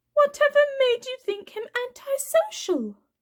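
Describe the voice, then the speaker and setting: A woman puts on a squeaky character voice at an extremely high pitch, speaking at a moderate pace. The sound is dry and close, with no echo. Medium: read story. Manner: genteel, controlled.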